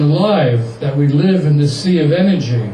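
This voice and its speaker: The speech moves at a fairly slow pace. Noticeable background noise and audible room echo come through. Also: man. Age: 80s+. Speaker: activist and publisher speaking at an event. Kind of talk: speech to an audience.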